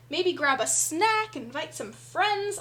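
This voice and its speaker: A woman with an extremely high pitch uses a raised, projected voice and an upbeat tone. She speaks at a fairly slow pace with very wide pitch swings. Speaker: digital artist streamer. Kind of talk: casual livestream chat while drawing. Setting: live stream. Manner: stutters a little when reading aloud; chatty and upbeat.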